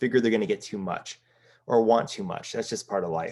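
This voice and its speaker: The speech races along at a very fast pace with ordinary pitch variation. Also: man. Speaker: business coach. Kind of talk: seminar.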